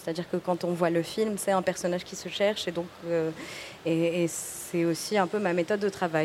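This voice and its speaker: At a moderate pace, with noticeable background noise around her, a woman uses a medium pitch and ordinary pitch variation. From Tunisia. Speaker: film director. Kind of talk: casual chat. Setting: stage with audience. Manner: halting.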